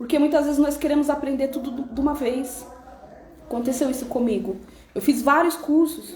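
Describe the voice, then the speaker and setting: A high-pitched woman speaks with a Brazilian accent and fairly even intonation. Noticeable background noise and audible room echo fill the recording. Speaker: personal development speaker. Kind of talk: live stream talk. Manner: fast.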